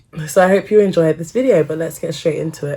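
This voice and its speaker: A woman talks in a dark, mellow tone at a fairly low pitch. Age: 20s. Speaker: medical student vlogger. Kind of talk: casual Q&A vlog.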